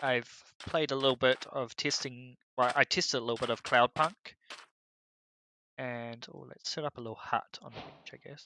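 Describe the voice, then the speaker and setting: In a New Zealand accent, the speaker leaves long, frequent pauses. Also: moderate pace. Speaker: gaming streamer. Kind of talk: live game stream commentary. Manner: casual, hesitant with fillers.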